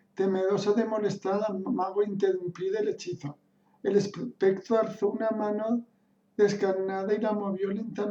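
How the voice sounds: The intonation stays fairly even in a natural reading voice.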